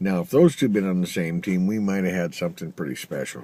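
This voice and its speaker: Lively intonation marks a man's dark, mellow voice in an American accent. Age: 60s. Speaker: vlogger. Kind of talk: casual video message. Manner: halting, many fillers.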